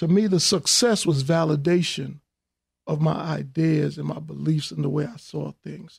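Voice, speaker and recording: Fairly high in pitch, a man talks with a New York accent at a moderate pace. The sound is dry and close, with no echo. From New York, Hollis, Queens. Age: 50s. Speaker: businessman and filmmaker. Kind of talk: interview.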